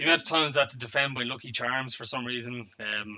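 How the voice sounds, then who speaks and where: A man's medium-pitched voice with an Irish accent, at a fairly quick pace and with fairly even intonation. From Ireland. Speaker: wargaming player. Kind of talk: casual chat. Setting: live stream.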